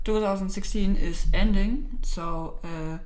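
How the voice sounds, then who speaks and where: A woman with a German accent speaks at a medium pitch with ordinary pitch variation, amid noticeable background noise and audible room echo. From Germany. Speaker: YouTuber. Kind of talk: casual vlog. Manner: halting, many fillers.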